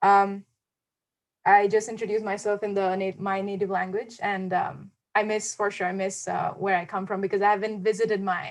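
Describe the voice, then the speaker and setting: A woman speaks with an Assam accent. The recording is very clean, with a silent background. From India (Assam). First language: Assamese. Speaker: student panelist. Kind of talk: panel talk. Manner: hesitant.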